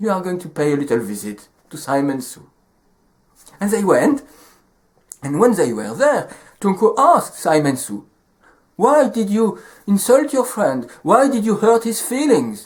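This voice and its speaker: Speaking at a fairly slow pace with long, frequent pauses, a man with a French accent uses a high pitch, very wide pitch swings and big swings in loudness. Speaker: storyteller. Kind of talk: storytelling.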